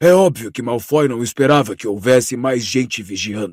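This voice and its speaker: Using a put-on character voice, a man speaks hoarsely at a moderate pace. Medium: read story. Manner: firm.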